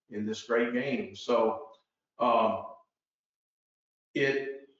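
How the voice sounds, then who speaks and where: Fairly even intonation marks this man's speech, with audible room echo around it. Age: 60s. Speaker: golf teacher. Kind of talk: interview.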